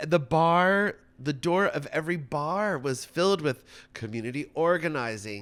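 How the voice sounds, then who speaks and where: A man with an American accent speaks at a moderate pace in a plain, everyday voice, his pitch fairly high and his intonation lively. The recording is very clean, with a silent background. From New York, Rockland County. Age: 50s. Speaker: drag performer. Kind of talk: casual chat.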